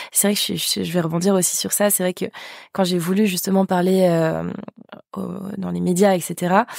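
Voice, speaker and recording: Moderate-paced speech from a woman, marked by long, frequent pauses. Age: 20s. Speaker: podcast host. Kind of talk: podcast interview.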